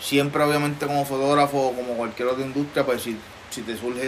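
A man's very fast, monotone delivery at medium pitch, flat in intonation, over noticeable background noise. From Puerto Rico, Trujillo Alto. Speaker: photographer. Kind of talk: casual interview chat. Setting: outdoor patio at home. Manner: halting, many fillers.

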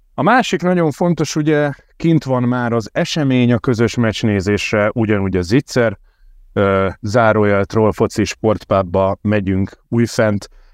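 A man talks at a fairly slow pace in an ordinary speaking voice of medium pitch with lively intonation. The sound is dry and close with no echo, over a quiet background. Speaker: podcast host. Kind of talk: casual football podcast chat.

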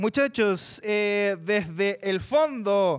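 On a very clean recording with a silent background, a voice in a Chilean accent sounds animated, with very wide pitch swings. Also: man. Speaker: podcast host and moderator. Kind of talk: live panel discussion with audience.

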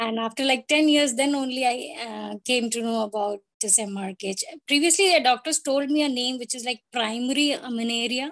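A woman with a high voice and ordinary pitch variation is heard in a dry, close recording with no echo. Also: fairly quick pace. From northern India. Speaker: patient advocate. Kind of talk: interview. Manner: halting.

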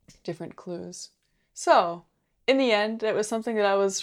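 On a very clean recording with a silent background, a woman with a normal speaking voice talks at a moderate pace and medium pitch. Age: 20s. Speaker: co-host. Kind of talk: casual chat.

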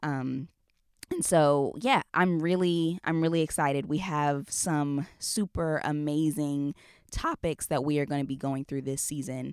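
Recorded dry and close with no echo against a silent background, the very clean clip moves at a fairly slow pace with fairly even intonation. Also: woman, very deep, low pitch for a woman. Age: 20s. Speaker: podcast host. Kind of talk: casual chat.

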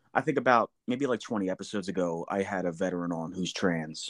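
A man with an American accent in an ordinary speaking voice, fairly low pitch, ordinary pitch variation and a moderate pace over a quiet background. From New Jersey. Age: 40s. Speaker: podcast host, veteran. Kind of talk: casual chat.

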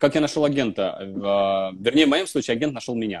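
This man has a medium pitch. His words come at a fairly quick pace. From Russia, Vologda. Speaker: actor. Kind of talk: casual chat. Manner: animated.

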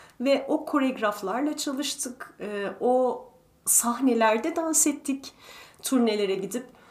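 A woman speaks at a very slow pace in a high pitch, with ordinary pitch variation. There is noticeable background noise. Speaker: retired principal ballet dancer and ballet teacher. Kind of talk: interview.

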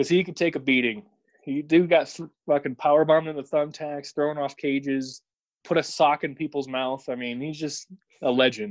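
A man with an unremarkable speaking voice and a fairly high pitch talks at a moderate pace with fairly even intonation and big swings in loudness, the sound dry and close with no echo. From Illinois, St. Louis area. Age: 30s. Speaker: air force service member. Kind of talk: casual chat.

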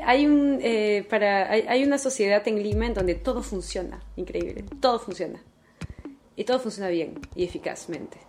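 With lively intonation, a woman speaks at medium pitch and a moderate pace. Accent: Peruvian. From Peru, Callao. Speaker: philosophy researcher. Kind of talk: interview.

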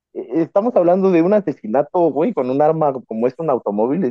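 This man's voice is high in pitch. He speaks at a moderate pace with lively intonation. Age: 30s. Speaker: podcast host. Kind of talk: casual chat.

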